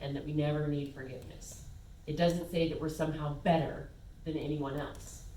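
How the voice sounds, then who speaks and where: Noticeable background noise sits behind a woman speaking at a moderate pace with fairly even intonation. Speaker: guest speaker, spiritual talk and meditation guide. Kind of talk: sermon / spiritual talk to congregation. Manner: warm, conversational, lightly humorous.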